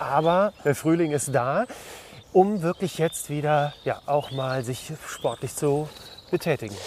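Speaking at a very slow pace, a man with a fairly high pitch and ordinary pitch variation is heard over noticeable background noise. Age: 50s. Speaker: podcast host. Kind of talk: casual interview. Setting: outdoors, walking. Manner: hesitant, many fillers.

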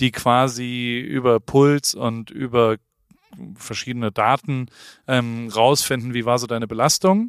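At a very slow pace, a man speaks in a medium pitch with fairly even intonation. The sound is dry and close, with no echo. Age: 40s. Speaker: podcast co-host. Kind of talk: casual chat.

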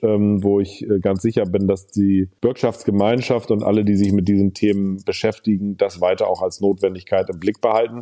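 A man with a dark, mellow tone and fairly low pitch speaks at a moderate pace in a monotone, flat intonation, with very even loudness and hardly any pauses. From Hamburg, northern Germany. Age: 40s. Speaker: state finance minister, politician. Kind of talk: interview. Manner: hesitant fillers.

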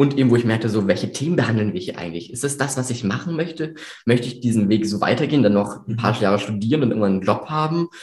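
At a very fast pace, a man of medium pitch speaks in a somewhat breathy voice, with audible room echo. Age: 18. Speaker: videographer and business owner. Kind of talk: interview. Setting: studio, in person at the host's office.

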